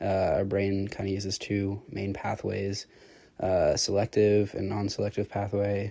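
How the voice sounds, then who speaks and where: A man speaks in a somewhat breathy voice with a dark, mellow tone. He keeps to a fairly slow pace. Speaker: student presenting course chapter. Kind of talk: casual class podcast summary. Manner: halting with many fillers.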